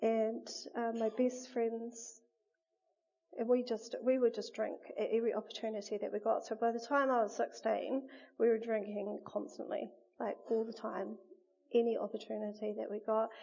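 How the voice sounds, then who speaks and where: In a New Zealand accent, a woman speaks with monotone, flat intonation and long, frequent pauses. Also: fairly high pitch for a woman, moderate pace. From New Zealand, Wellington region. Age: 30s. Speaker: churchgoer giving testimony. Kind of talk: testimony interview.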